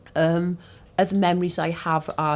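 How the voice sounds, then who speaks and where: A woman talks at a moderate pace in a Cardiff accent. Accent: Cardiff Welsh English. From Wales, Cardiff (Ely). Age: 60s. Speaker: interviewee. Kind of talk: oral history interview. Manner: hesitant, many fillers.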